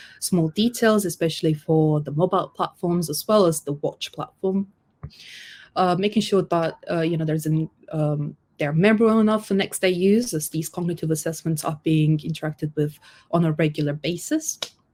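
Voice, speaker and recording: Somewhat breathy, a woman with a non-native accent speaks at a fairly low pitch with ordinary pitch variation. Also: moderate pace. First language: not English. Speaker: UX designer. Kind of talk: conference talk. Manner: hesitant, with fillers and self-corrections.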